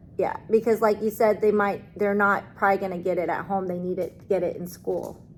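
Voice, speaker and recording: Flat, monotone delivery moves at a fairly quick pace, with music in the background. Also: woman, medium pitch for a woman. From outside the US. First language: not English, learned English as a second language. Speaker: teacher. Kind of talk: staff meeting discussion.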